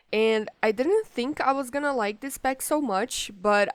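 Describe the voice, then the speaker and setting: A woman speaks at a moderate pace with ordinary pitch variation, in a very clean recording with a silent background. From Brazil. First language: Portuguese. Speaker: gaming YouTuber. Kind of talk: gameplay commentary. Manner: casual, hesitant with many fillers.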